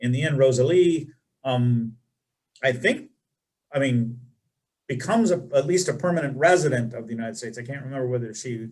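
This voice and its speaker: Somewhat breathy and at a medium pitch, a man talks at a fairly quick pace with ordinary pitch variation and long, frequent pauses. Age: 60s. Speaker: webinar moderator. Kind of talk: panel discussion. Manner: halting.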